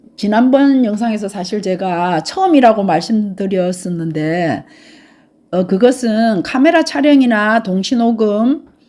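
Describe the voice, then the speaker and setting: A fairly high-pitched woman's voice with a dark, mellow tone, lively intonation and a fairly slow pace. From Gyeongsang province, South Korea. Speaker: travel YouTuber. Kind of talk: casual vlog talk. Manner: unpolished, awkward.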